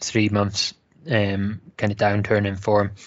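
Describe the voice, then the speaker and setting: A man speaks in a Scottish accent. His voice is fairly low and monotone, with flat intonation. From Wales. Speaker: football fan panelist.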